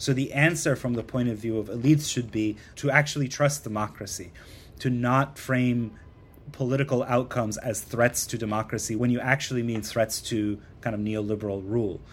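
A man speaking at a fairly quick pace with fairly even intonation, music in the background. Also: medium pitch for a man. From Iran, moved west as a teen. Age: 30s. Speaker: magazine editor and political commentator. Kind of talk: interview discussion.

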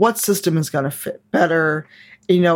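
Speaking at a fairly quick pace, a woman has a normal speaking voice, a fairly low pitch and ordinary pitch variation. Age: 40s. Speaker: game designer and diversity advocate. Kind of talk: casual chat.

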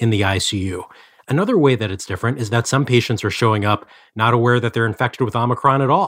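Ordinary pitch variation comes at a very fast pace in a very clean recording with a silent background. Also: man. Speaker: health reporter. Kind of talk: news interview.

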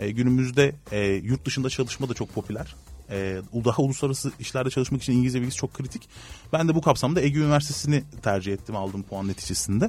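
His voice carries a somewhat breathy quality. The man talks very rapidly. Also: medium pitch for a man, ordinary pitch variation. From Turkey, Antalya. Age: 30s. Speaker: human resources consultant. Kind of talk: interview.

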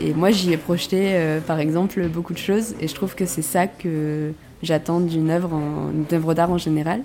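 A woman with a fairly low pitch, fairly even intonation and a moderate pace, over noticeable background noise. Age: 20s. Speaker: film student. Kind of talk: casual monologue. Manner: hesitant, many fillers.

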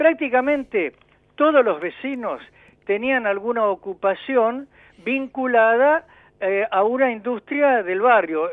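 A man speaks at an extremely high pitch. His pace is very slow. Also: lively intonation. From Buenos Aires, Argentina. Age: 60s. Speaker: engineer and local historian. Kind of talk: radio interview.

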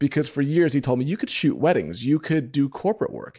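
In an American accent, a man speaks in a normal speaking voice, fairly high in pitch with ordinary pitch variation. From New York. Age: 30s. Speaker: photographer and business coach. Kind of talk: interview.

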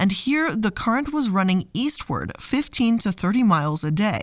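A woman with a plain, everyday voice, medium in pitch, lively in intonation and fairly slow in pace, on a very clean recording with a silent background. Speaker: podcast host. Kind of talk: scripted-style educational narration, read from sources. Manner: measured, clear, documentary-style storyteller; warm, friendly, conversational.

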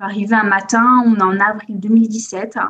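A woman speaks in a monotone with flat intonation and a somewhat breathy voice. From Corsica. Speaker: copywriting agency founder. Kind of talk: podcast interview. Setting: at family home in Corsica.

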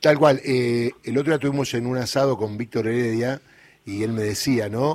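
A man's normal speaking voice at a medium pitch, moderate pace and ordinary pitch variation. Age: 60s. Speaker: radio host. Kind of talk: radio interview.

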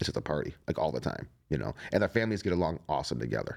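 Very fast, with vocal fry, a man talks at a very deep, low pitch. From Ohio, Cleveland area. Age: 40s. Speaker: plumber, cancer survivor. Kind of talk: interview, personal story. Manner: casual, filler-heavy.

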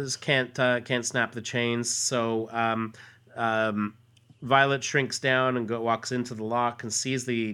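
In a natural voice, the speaker reads something aloud.

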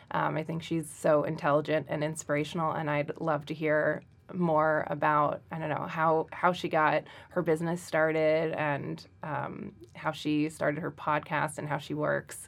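This woman has a very deep, low pitch and an American accent, speaking at a moderate pace with vocal fry and monotone, flat intonation. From Central New Jersey. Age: 30s. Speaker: MBA student, podcast co-host. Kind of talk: casual chat. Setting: studio.

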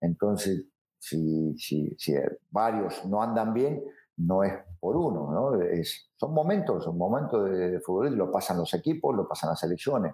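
This man has a fairly low pitch and a dark, mellow tone, with very wide pitch swings. He talks at a fairly slow pace, and his loudness stays very even. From Argentina, Rosario. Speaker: football coach. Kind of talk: interview. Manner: halting, many repetitions and fillers.

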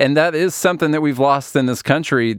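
In a normal speaking voice, a man talks at a fairly quick pace with ordinary pitch variation, recorded very cleanly against a silent background. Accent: American. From rural small town, US. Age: 30s. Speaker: podcast host. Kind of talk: casual chat.

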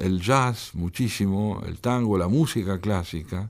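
Fairly low in pitch with ordinary pitch variation, a man talks at a very slow pace. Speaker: poet and translator. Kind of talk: radio interview.

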